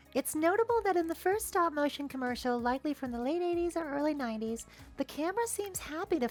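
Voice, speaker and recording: Over music in the background, a woman talks in a high pitch at a very fast pace with hardly any pauses, her intonation lively and her tone playful. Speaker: video essayist. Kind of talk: documentary narration. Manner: wry, playful.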